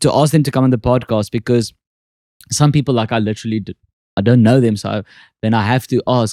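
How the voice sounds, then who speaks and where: A man speaks with a South African accent in a dry, close sound with no echo. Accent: Afrikaans accent, thicker on stage. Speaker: podcast host and comedian. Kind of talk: casual chat.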